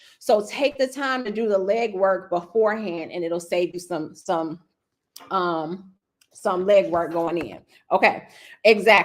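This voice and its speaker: Animated in tone, a woman at medium pitch speaks at a fairly slow pace with lively intonation. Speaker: real estate coach. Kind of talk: live webinar training. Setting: livestream.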